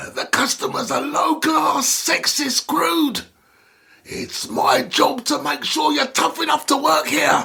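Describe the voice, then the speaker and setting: A man puts on a character voice at an extremely high pitch. He speaks at a fairly slow pace. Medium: read story. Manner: sighing, hesitant, stammering.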